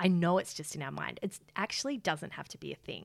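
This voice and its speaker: At a moderate pace, a woman with an Australian accent speaks in a fairly low pitch. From Australia, Geelong. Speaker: beauty business founder. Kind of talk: interview.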